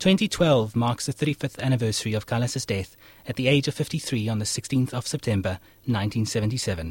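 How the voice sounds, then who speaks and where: The voice is somewhat breathy, with ordinary pitch variation and a moderate pace, in a very clean recording with a silent background and a dry, close sound with no echo. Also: man, medium pitch for a man. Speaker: radio host. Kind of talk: scripted narration. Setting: studio.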